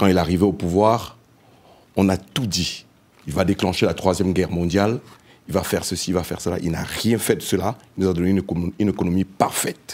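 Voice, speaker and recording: A man with a very deep, low pitch at a fairly quick pace, fairly even intonation, big swings in loudness and long, frequent pauses. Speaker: panelist, diaspora member. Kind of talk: panel debate. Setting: round table with live audience.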